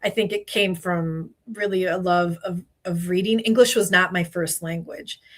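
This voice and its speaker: Delivery moves at a moderate pace with fairly even intonation. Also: woman, medium pitch for a woman. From Spanish-speaking country, moved to US as child. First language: Spanish. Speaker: HR and legal consultant. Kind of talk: podcast interview.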